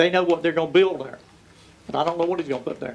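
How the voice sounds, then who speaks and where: Speaking with a North Carolina accent, a man has a high pitch. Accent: US South (North Carolina). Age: 70s. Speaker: local resident speaking at public hearing. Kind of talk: public comment.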